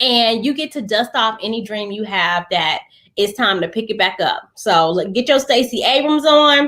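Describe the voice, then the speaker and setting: Speaking with an American accent, a woman uses a fairly high pitch, a bright, sharp, animated tone and lively intonation at a moderate pace. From US South, Georgia. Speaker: motivational speaker and preacher. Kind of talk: livestream talk. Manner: loud.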